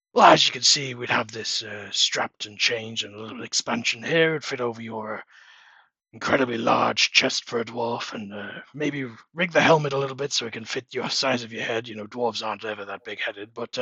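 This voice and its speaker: A man puts on a character voice, speaking at a fairly quick pace and a medium pitch. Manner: loud, announcing.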